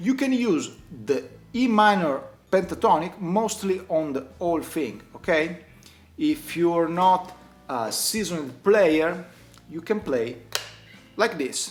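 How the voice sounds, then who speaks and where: A man with an Italian accent talks at a high pitch with lively intonation. His pace is very slow, with long, frequent pauses. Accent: non-native English, Italian. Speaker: guitar teacher. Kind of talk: tutorial. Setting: at home.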